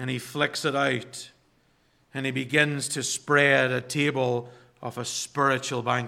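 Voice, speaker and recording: A man speaks very slowly in a monotone, flat intonation. His voice is fairly high, with a bright, sharp tone. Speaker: pastor. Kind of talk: sermon. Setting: church.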